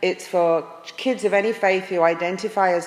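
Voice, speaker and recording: At a moderate pace, a woman with an American accent speaks with fairly even intonation amid noticeable background noise. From England. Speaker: pastor. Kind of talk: presentation to an audience. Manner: frequent hesitations.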